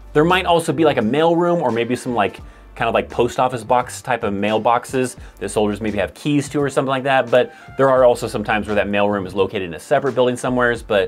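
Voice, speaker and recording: The man races along at a very fast pace. Behind him, music plays faintly. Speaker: army life video creator. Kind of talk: explanatory vlog talk. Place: home room.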